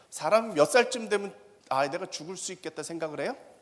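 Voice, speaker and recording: Using lively intonation, a man speaks with a high pitch. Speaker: professor. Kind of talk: lecture. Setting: stage with audience. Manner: fast; animated.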